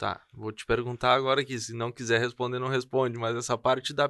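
A man speaks in an ordinary speaking voice at a medium pitch, against a quiet background with a dry, close sound and no echo. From southern Brazil, Rio Grande do Sul. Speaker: podcast host. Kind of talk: interview conversation.

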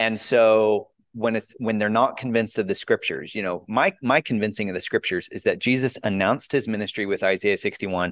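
Against a quiet background, a man with an ordinary speaking voice talks at a fairly quick pace with hardly any pauses and ordinary pitch variation. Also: fairly low pitch for a man. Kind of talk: casual chat.

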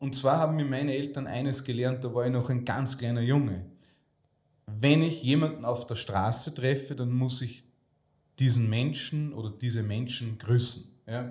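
A man speaks at a moderate pace with a medium pitch and fairly even intonation, his voice somewhat breathy. Audible room echo surrounds the recording. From Lower Austria (Melk area). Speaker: financial advisor and entrepreneur. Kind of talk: interview conversation. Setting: in-person, Salzburg.

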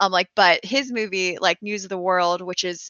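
A woman's unremarkable speaking voice, medium in pitch, with fairly even intonation. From US desert region. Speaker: movie buff guest. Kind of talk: casual chat.

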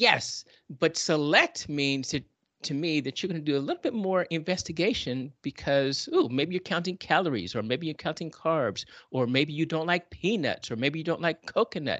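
A man with a normal speaking voice, fairly high in pitch, at a moderate pace, in a dry, close sound with no echo and a quiet background. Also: ordinary pitch variation. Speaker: podcast host. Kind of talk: casual chat. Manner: laughs often, chatty.

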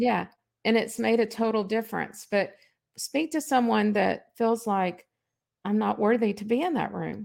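A normal speaking voice at a moderate pace. The pitch varies in an ordinary way. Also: woman, fairly high pitch for a woman, very clean recording, silent background. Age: 60s. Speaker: podcast host. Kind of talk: interview.

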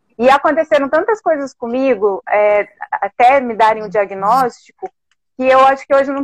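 In a southern Brazilian accent, a woman talks at a high pitch with a dry, close sound and no echo. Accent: gaúcho Brazilian Portuguese. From Alegrete, Rio Grande do Sul, Brazil. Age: 40s. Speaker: heart transplant recipient, former volunteer. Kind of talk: casual chat.

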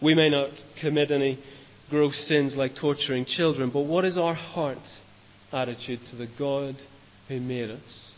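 A man with a Northern Irish accent talks at a moderate pace in a fairly high pitch, his intonation fairly even and broken by long, frequent pauses. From Northern Ireland, Lisburn. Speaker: trainee preacher, former maths teacher. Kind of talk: sermon.

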